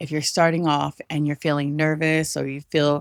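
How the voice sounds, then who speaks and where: In a very clean recording with a silent background and a dry, close sound with no echo, a woman speaks at a very deep, low pitch. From Samoan-American. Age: 40s. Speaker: content creator. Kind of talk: casual talk to camera.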